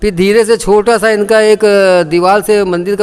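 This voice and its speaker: This man's voice sits high in pitch. His intonation stays fairly even. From India, local neighbourhood of the temple. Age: 60s. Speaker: temple committee president. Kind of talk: interview, oral history. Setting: at a temple.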